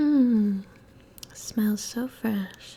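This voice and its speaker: A soft-spoken woman with a fairly high pitch uses a playful tone amid noticeable background noise. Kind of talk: ASMR comedy roleplay to camera. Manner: soft-spoken, playful.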